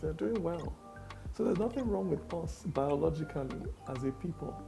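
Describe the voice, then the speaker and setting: Music plays in the background. A man with a Nigerian accent speaks with lively intonation. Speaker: performance poet. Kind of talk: interview answer.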